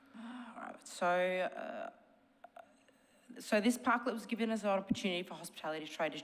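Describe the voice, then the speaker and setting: A woman is speaking. She has an Australian accent. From Melbourne, Australia. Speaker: shop owner speaking at council meeting. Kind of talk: public submission read from notes.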